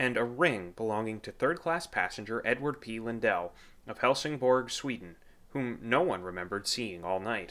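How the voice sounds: A natural reading voice is heard here.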